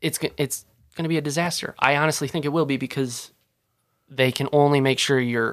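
This is a man with an ordinary speaking voice, fairly high in pitch and fairly quick in pace. His intonation is fairly even, and the recording is very clean with a silent background. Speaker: college student. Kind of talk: casual chat.

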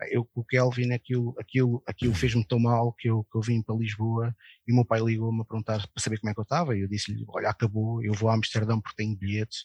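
Somewhat breathy, the voice races at a very fast pace with monotone, flat intonation. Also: man, dry, close sound with no echo. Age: 40s. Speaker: football club election campaigner. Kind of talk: casual chat.

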